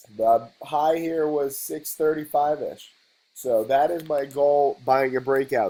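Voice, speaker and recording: A man speaks in a dark, mellow tone. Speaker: stock trader and trading teacher. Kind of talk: casual video lesson to camera.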